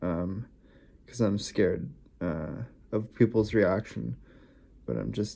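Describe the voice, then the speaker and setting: At a very slow pace, a man with a fairly low pitch, dark, mellow tone and vocal fry speaks with ordinary pitch variation. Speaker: vlogger. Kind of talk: personal video diary. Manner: reflective, hesitant with fillers.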